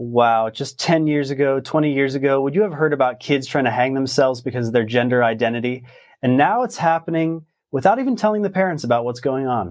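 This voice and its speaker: A man with an unremarkable speaking voice talks at a fairly quick pace and medium pitch, with ordinary pitch variation and a quiet background. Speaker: news show host. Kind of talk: news commentary.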